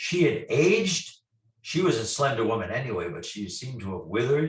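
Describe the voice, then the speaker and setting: Somewhat breathy, a man speaks at a medium pitch and moderate pace, his pitch swinging very widely. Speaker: paranormal investigator. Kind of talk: storytelling interview.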